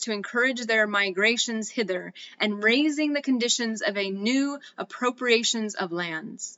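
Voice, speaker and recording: This woman has an ordinary speaking voice with an American accent and a fairly high pitch. She talks at a moderate pace with ordinary pitch variation. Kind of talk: historical document reading.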